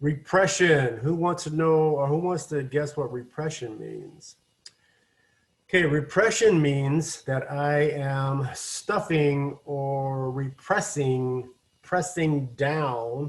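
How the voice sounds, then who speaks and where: A somewhat breathy man with an American accent, fairly high pitched, very slow, with ordinary pitch variation. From Washington state, US. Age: 60s. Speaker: addiction recovery counselor. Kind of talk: online lecture. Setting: video call. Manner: halting.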